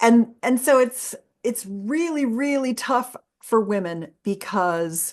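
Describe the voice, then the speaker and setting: Against a quiet background, a woman with a high pitch speaks at a very slow pace, her voice making very wide pitch swings. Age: 60s. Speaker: sex educator. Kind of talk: interview. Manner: animated.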